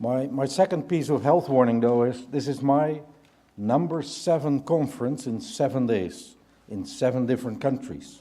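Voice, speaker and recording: With a Dutch accent, a man speaks at a fairly slow pace in a medium pitch, with a dark, mellow tone and ordinary pitch variation. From Netherlands. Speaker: business leader. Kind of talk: keynote speech. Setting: conference stage with audience.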